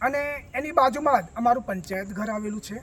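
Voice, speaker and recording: A man speaks with ordinary pitch variation. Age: 60s. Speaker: village resident. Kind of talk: news interview complaint. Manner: formal.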